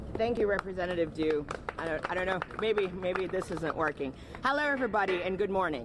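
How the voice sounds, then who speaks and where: Noticeable background noise runs behind a woman talking very fast. Her medium-pitched voice has lively intonation. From Jamaica. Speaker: community advocate. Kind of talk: public speech.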